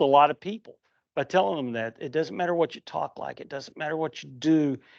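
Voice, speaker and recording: A man's fairly high voice with a West Virginia accent and lively intonation. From West Virginia, Huntington. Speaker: comic book writer. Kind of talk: convention panel talk.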